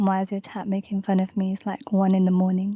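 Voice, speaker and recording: Using a put-on, robotic character voice, a female-sounding speaker talks at a fairly quick pace with medium pitch and monotone, flat intonation. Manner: sleepy, flat.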